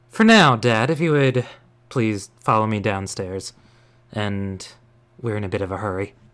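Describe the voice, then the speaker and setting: A man puts on a character voice at a fairly low pitch. He keeps a moderate pace with long, frequent pauses. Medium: actual play. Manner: composed, slightly mocking.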